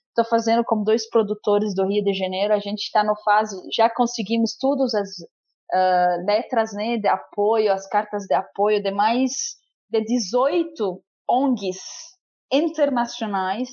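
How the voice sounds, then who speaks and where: In an Arabic accent, a woman speaks very slowly at a fairly high pitch, with ordinary pitch variation. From Lebanon. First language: Arabic (speaking Portuguese). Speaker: stateless rights activist. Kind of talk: testimony. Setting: remote call.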